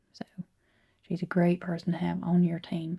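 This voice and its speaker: Soft-spoken and somewhat breathy, a woman with a Southern accent talks in a dark, mellow tone at a fairly low pitch. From American South. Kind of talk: ASMR roleplay.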